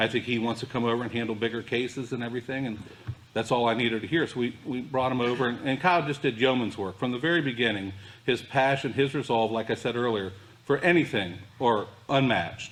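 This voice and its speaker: This man's medium-pitched voice races along at a very fast clip. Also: ordinary pitch variation. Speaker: district attorney presenting an award. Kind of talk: award presentation speech.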